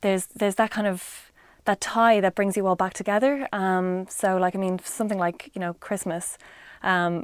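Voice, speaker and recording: A woman with an Irish accent speaks at a medium pitch and moderate pace, with fairly even intonation. The recording is very clean with a silent background, and the sound is dry and close with no echo. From Ireland. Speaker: interviewee. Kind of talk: casual interview answer. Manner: hesitant, many fillers.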